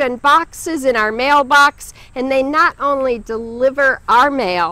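Raising and projecting her voice, a woman speaks at a high pitch in a dry recording with no echo. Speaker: pastor giving a sermon. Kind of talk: church sermon. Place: garden.

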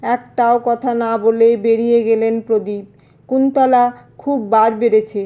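With fairly even intonation, the speaker uses a natural reading voice.

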